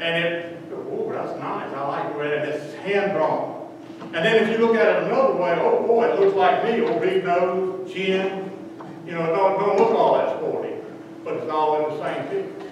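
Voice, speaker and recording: In a room with strong echo and light background noise, a man speaks at a high pitch and a moderate pace with ordinary pitch variation. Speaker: lay preacher. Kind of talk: sermon. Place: church.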